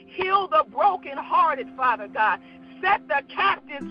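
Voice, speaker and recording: A fairly slow pace, with music in the background. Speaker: prayer leader. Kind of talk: fervent prayer. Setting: Saturday morning prayer podcast. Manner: fervent, repetitive, rhythmic cadence; excitable, animated.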